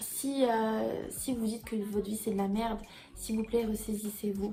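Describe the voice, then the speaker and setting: The voice holds a monotone, flat intonation at a moderate pace, with noticeable background noise. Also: woman. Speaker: YouTuber. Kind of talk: storytelling vlog.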